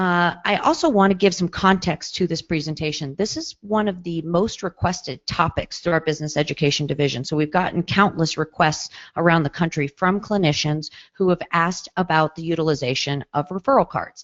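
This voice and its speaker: With hardly any pauses, a woman speaks at a fairly quick pace in a fairly low pitch with ordinary pitch variation. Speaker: psychologist and webinar presenter. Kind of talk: webinar presentation. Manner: fast.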